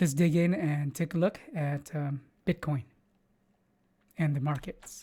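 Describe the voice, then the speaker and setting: A man's fairly high, somewhat breathy voice with a dark, mellow tone, fairly even intonation and a fairly slow pace. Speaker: crypto market commentator. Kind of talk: market analysis video. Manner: hesitant, many filler words.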